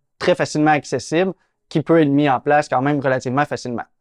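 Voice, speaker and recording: A man with a Quebec accent, fairly high-pitched and fairly even in intonation, at a very fast pace, in a dry, close recording with no echo and a quiet background. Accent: Québécois French. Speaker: real estate investor and channel host. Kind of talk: interview.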